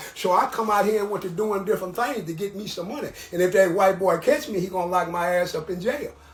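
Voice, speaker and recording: A man's high voice with an American accent, ordinary pitch variation, a very fast pace and hardly any pauses, over noticeable background noise. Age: 70s. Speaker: former prisoner. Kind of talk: interview.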